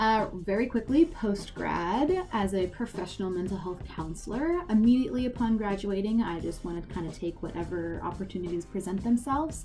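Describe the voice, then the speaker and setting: A woman with an American accent talks at a fairly quick pace with hardly any pauses, her medium-pitched voice lively in intonation. Music plays in the background. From Maryland. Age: 20s. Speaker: student tour guide. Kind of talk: casual vlog monologue.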